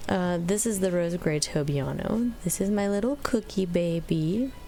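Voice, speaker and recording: Her pitch is fairly low for a woman, with lively intonation. She speaks at a fairly slow pace. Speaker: gaming YouTuber. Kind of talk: casual gameplay commentary. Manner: loud; animated.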